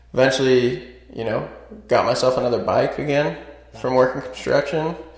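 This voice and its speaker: There is noticeable background noise behind this recording. A man with an American accent speaks at a moderate pace. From US West, small town outside Las Vegas, Nevada. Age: 20s. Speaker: door-to-door salesman, former carpenter. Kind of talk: personal life story interview. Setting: studio podcast room.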